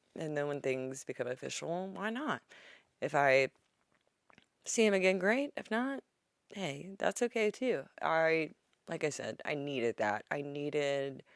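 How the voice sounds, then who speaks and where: Loud and very deep in pitch, a woman speaks at a fairly slow pace with very wide pitch swings and long, frequent pauses, in a dry, close sound with no echo. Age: 30s. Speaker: podcast host. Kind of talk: casual chat; scripted tip and mantra. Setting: home bedroom.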